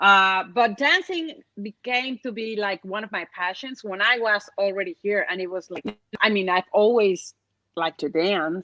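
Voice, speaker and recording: A woman with a medium pitch and a bright, sharp tone speaks at a moderate pace with ordinary pitch variation, with a dry, close sound with no echo. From Mexico City. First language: Spanish. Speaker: interview guest. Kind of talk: casual interview.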